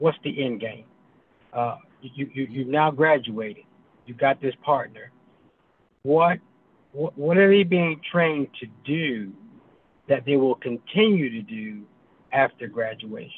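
With lively intonation and a fairly high pitch, a man speaks at a fairly slow pace with long, frequent pauses, in a dry sound with no echo. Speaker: pastor. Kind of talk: Q&A participant. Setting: video call. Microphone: video call.

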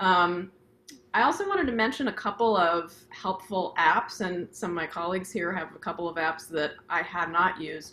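Here is a woman with an ordinary speaking voice at a medium pitch. She keeps a moderate pace and ordinary pitch variation. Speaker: flute professor. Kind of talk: instructional panel discussion. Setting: video call.

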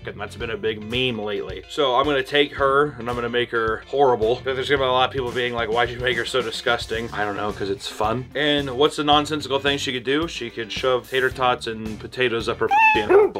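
A man at a very fast pace, fairly even in intonation, with clear music in the background. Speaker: animator YouTuber. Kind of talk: casual vlog chat. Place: home room.

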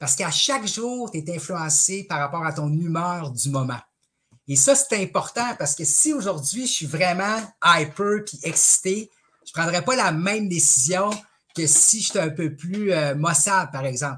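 Here a man talks at a fairly slow pace. His pitch is high and his tone bright and sharp. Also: lively intonation. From Quebec. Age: 40s. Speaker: stock market trainer and speaker; interview guest, trading trainer. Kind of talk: casual interview. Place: home room. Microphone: headset.

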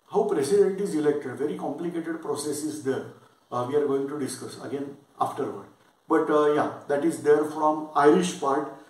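At a moderate pace, a man with a fairly high pitch and fairly even intonation talks amid audible room echo. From India, Maharashtra. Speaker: lecturer; exam-prep teacher. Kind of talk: lecture. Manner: halting, many fillers.

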